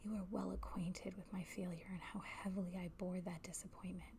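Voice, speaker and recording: The whispering moves along at a fairly quick pace. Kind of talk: whispered literary reading for ASMR. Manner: whispered.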